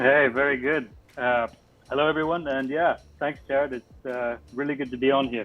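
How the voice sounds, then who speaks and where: At a moderate pace, a man of medium pitch speaks in a flat monotone. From Africa, British family. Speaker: toy car designer. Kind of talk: panel introduction.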